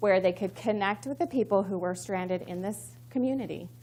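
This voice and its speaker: A woman speaks at a medium pitch with vocal fry. Her pitch swings very widely. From Missouri. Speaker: communications professional, conference speaker. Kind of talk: conference talk. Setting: stage with audience. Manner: fast; excited.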